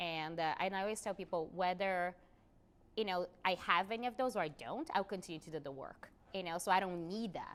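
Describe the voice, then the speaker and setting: The speech moves fairly quickly and has ordinary pitch variation. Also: woman, medium pitch for a woman. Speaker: visual artist and activist. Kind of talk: interview conversation. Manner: loud.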